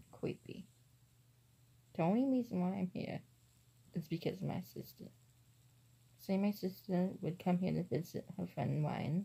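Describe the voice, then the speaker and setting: A soft-spoken woman talks at a fairly slow pace. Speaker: vlogger. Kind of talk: casual vlog. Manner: quiet, soft-spoken.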